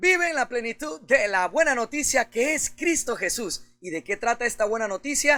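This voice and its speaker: A man's extremely high, raised and projected voice with lively intonation and hardly any pauses, dry and close with no echo, over music in the background. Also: moderate pace. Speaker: pastor. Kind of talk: sermon preaching.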